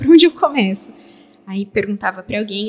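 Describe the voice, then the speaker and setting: A woman at a medium pitch speaks in an ordinary speaking voice. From Brazil, São Paulo area. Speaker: software developer. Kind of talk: interview.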